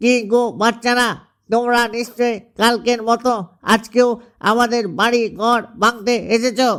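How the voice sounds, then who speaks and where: A man puts on a cartoonish character voice at an extremely high pitch, speaking in a monotone, flat intonation. He keeps a moderate pace on a very clean recording with a silent background. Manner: serious, worried.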